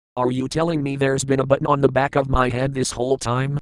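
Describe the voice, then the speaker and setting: A man's cartoonish character voice at medium pitch, very fast and monotone with flat intonation. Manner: grumpy, demanding.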